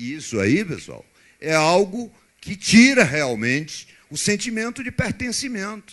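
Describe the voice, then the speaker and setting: Fairly slow speech comes from a man. Behind him, the background stays quiet. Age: 60s. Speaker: politician. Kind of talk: public debate answer. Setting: university debate with audience.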